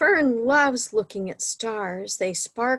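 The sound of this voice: Intonation stays lively throughout this unforced reading voice.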